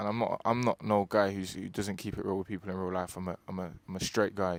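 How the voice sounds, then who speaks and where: This man's voice is pitched fairly low. He talks at a very fast pace. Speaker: YouTuber interviewer. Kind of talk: staged interview. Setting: on camera with crew. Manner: halting, stuttering.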